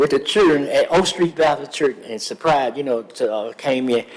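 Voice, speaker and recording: Against noticeable background noise, a man talks at a fairly quick pace with a fairly high pitch. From US South. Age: 70s. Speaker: public commenter at council meeting. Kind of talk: public comment. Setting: city council chamber. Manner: halting, many fillers.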